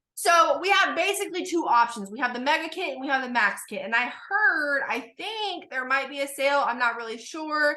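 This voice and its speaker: This woman talks at a fairly quick pace with hardly any pauses, her high voice raised and projected. Her tone is animated, with very wide pitch swings, and there is noticeable background noise. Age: 20s. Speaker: network marketing recruiter. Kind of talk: sales pitch. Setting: video call. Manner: fast.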